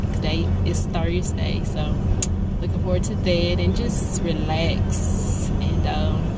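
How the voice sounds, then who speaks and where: Loud noise fills the background while a woman talks very slowly. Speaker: vlogger. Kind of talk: casual vlog chat. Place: car. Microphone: phone near.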